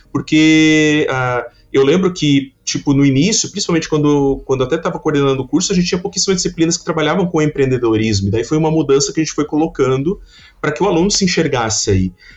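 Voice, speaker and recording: A man at a very fast pace, fairly high-pitched, with ordinary pitch variation. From Santa Catarina, Brazil (Criciúma). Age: 30s. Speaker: design professor. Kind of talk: casual interview.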